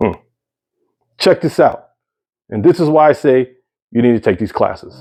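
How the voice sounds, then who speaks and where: A man with a fairly high voice talks at a moderate pace with lively intonation and long, frequent pauses. Music plays in the background. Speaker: healthcare security worker. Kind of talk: casual vlog monologue.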